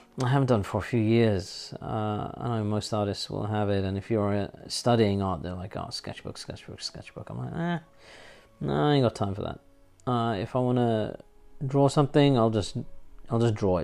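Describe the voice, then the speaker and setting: With a London accent, a man talks at a moderate pace at a fairly low pitch with ordinary pitch variation. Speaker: artist. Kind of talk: casual chat. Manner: hesitant, many fillers.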